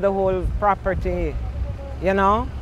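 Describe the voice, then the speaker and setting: The speaker has a Jamaican accent and a fairly slow pace. Audible room echo surrounds the voice. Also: woman. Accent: Jamaican, Patois features. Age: 70s. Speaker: community association president and resident. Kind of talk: news interview. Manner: halting.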